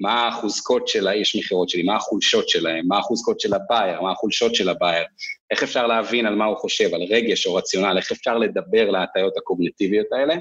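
A man talks at a very fast pace with hardly any pauses. His loudness stays very even throughout. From northern Israel. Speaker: sales executive. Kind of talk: casual interview.

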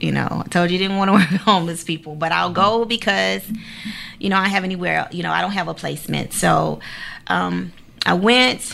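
Speaking at a fairly quick pace, a woman with an American accent is heard over noticeable background noise. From Savannah, Georgia (US South). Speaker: executive director of a homeless family shelter nonprofit. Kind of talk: interview.

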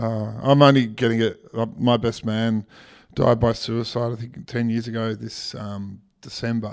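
A man with an Australian accent talks at a fairly slow pace and medium pitch, his intonation monotone and flat but his loudness swinging widely, on a very clean recording with a silent background. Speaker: podcast host and MC. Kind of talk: podcast interview and promotional outro. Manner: warm, conversational, repeats words while thinking.

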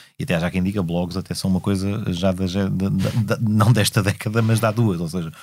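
A man's voice has a dark, mellow tone. He speaks at a moderate pace with ordinary pitch variation. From Portugal, Lisbon area (Amadora). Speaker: politician and law lecturer. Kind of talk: interview conversation. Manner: hesitant, many fillers.

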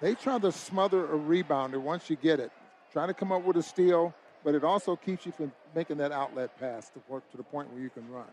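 In an ordinary speaking voice, a fairly high-pitched man talks at a fairly quick pace with ordinary pitch variation and big swings in loudness. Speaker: radio color analyst. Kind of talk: sports commentary analysis. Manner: conversational, measured.

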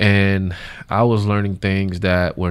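Monotone, flat delivery at a fairly slow pace in an American accent, on a very clean recording with a silent background. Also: man. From US South, West Palm Beach, Florida. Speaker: nonprofit founder and CEO. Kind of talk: interview.

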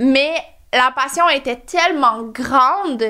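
Speaking with a Quebec accent, a woman raises and projects her high-pitched voice, which has a bright, sharp tone. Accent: Québécois French. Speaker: entrepreneur, skincare company founder. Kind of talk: interview, personal story.

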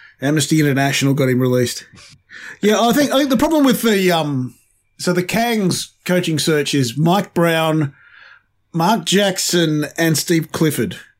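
In a very clean recording with a silent background, a man with an Australian accent speaks at a moderate pace in a high pitch, with lively intonation and very even loudness. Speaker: podcast co-host. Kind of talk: casual chat.

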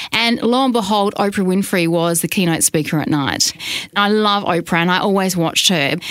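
A woman talks at a fairly quick pace with an Australian accent. Noticeable background noise sits behind her. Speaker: radio program director. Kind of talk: podcast interview. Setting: radio studio.

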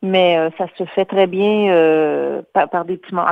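In a normal speaking voice, a woman talks at a fairly slow pace with fairly even intonation. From Quebec, Louiseville area. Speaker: chamber of commerce director, artist agent. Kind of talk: radio interview.

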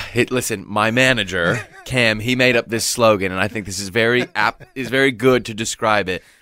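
A man talks with hardly any pauses and fairly even intonation. Noticeable background noise runs behind him. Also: medium pitch for a man, moderate pace. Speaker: worship singer-songwriter. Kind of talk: interview. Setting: studio.

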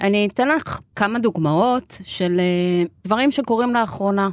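A woman's plain, everyday voice at a medium pitch, with lively intonation and a fairly slow pace. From Argentina. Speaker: podcast host. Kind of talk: interview. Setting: studio.

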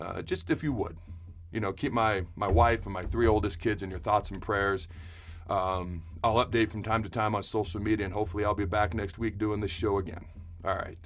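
Speaking at a fairly quick pace, a man with a fairly low, somewhat breathy voice keeps his intonation fairly even. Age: 30s. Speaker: podcast host. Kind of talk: personal health update monologue. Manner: fast.

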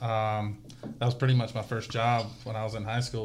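In an American accent, the speaker moves at a fairly quick pace with monotone, flat intonation. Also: man. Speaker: race spotter and business owner. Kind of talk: casual chat. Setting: studio. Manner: loud.

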